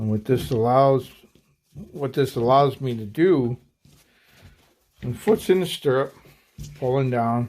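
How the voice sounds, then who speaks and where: A man speaks at a fairly slow pace in a medium pitch, with ordinary pitch variation and long, frequent pauses. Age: 50s. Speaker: hunting gear channel host. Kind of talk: tutorial. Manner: halting, many fillers.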